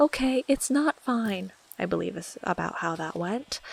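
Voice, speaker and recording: Her pitch swings very widely as this woman talks at a fairly slow pace. Noticeable background noise is present. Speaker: Minecraft let's play YouTuber. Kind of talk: casual talk to camera, gameplay commentary.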